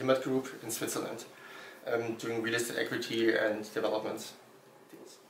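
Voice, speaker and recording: With a German accent, a man at a medium pitch speaks at a moderate pace in a monotone, flat intonation, with audible room echo and noticeable background noise. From Germany. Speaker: startup founder. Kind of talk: interview. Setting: Berlin. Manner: halting.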